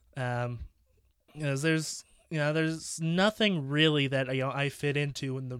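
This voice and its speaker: A moderate pace with fairly even intonation. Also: man, very clean recording, silent background. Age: 20s. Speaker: solo podcaster. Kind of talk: casual monologue. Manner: halting, many fillers and repetitions.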